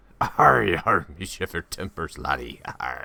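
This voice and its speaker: A raspy, put-on character voice from a man, delivered fairly slowly. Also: very deep, low pitch for a man. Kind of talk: stock pirate speech.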